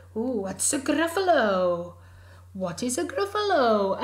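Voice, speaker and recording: A put-on character voice is pitched fairly high, with very wide pitch swings. It moves at a fairly slow pace. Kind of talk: children's story character voices. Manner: curious, then alarmed.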